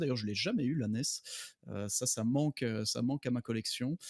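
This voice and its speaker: Dry and close with no echo, a man's unremarkable speaking voice sits at a medium pitch with ordinary pitch variation and a fairly quick pace. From Belgium. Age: 30s. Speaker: doctor and gaming guest. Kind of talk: casual podcast chat.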